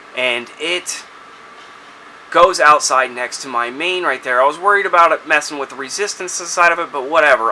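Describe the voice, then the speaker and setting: A man with a fairly high pitch and ordinary pitch variation talks at a moderate pace against noticeable background noise. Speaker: DIY homeowner. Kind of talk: tutorial. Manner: casual.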